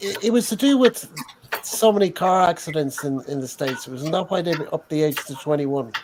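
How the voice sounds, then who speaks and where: The voice carries an Irish accent and moves at a fairly quick pace. Background noise is noticeable. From Ireland. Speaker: live stream host. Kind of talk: casual chat. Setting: live stream chat.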